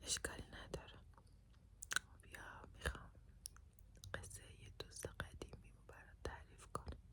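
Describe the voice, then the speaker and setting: Whispering comes at a fairly slow pace with long, frequent pauses. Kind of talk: ASMR personal story for sleep. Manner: soft-spoken.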